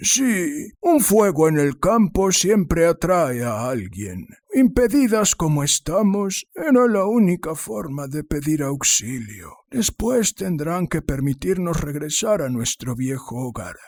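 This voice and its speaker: In a put-on character voice, a man speaks high with very wide pitch swings. His pace is fairly slow. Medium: read story. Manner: firm, controlling.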